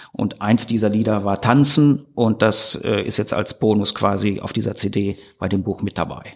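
A man's fairly low, ordinary speaking voice at a moderate pace, with fairly even intonation. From Ruhr area, Germany (Gladbeck/Recklinghausen). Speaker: author and musician. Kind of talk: casual interview chat. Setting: studio, face to face.

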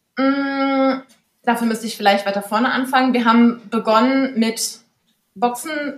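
A woman speaks at a very slow pace. Her pitch is fairly high, and her intonation is fairly even. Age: 30s. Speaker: horse stable owner. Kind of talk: interview.

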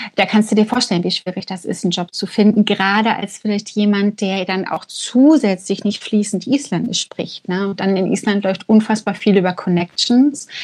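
Somewhat breathy, a woman talks with fairly even intonation. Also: medium pitch for a woman, moderate pace, hardly any pauses. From Germany. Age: 30s. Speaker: art gallery manager, emigrant. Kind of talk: casual interview.

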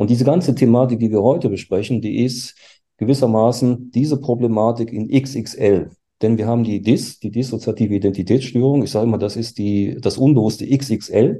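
Against a quiet background, a man talks in a dark, mellow tone at a medium pitch. His intonation is fairly even and his pace moderate. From Germany. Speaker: forensic psychiatrist. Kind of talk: panel discussion.

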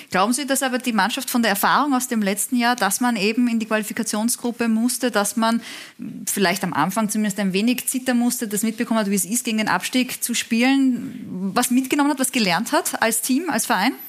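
A woman talks at a fairly quick pace with a fairly high pitch, ordinary pitch variation, and very even loudness. Hers is an unremarkable speaking voice. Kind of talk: studio talk show. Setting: TV studio.

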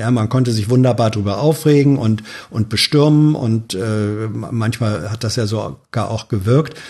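Somewhat breathy and dark, mellow in tone, a man speaks at a moderate pace with ordinary pitch variation. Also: medium pitch for a man. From northern Germany, Hannover. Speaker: journalist, podcast guest. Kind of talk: casual chat. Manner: halting, many fillers.

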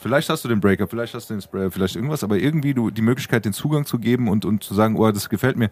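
A man's pitch varies in an ordinary way as he talks at a very fast pace. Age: 20s. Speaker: podcast co-host. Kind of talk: casual chat.

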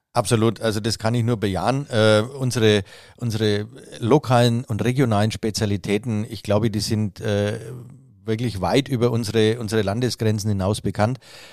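A man talks with monotone, flat intonation. The recording is very clean, with a silent background. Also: fairly low pitch for a man, moderate pace. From Franconia, Nuremberg. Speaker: master hairdresser and trade chamber president. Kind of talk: interview. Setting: office.

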